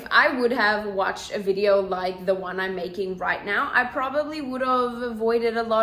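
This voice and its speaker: A woman speaks at a moderate pace with a fairly high pitch and ordinary pitch variation. There is noticeable background noise and audible room echo. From South Africa. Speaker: vlogger and English teacher. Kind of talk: casual Q&A vlog chat. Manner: chatty, informal.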